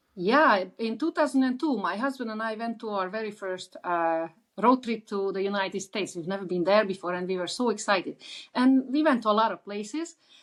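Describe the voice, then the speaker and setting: Over a quiet background, a woman with an Eastern European accent speaks with lively intonation. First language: Eastern European language. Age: 60s. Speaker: author. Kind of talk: interview. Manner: halting, many fillers.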